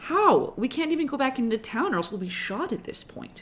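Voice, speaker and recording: Put on as a character, a high voice moves at a fairly quick pace with very wide pitch swings. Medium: actual play. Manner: dry, exasperated.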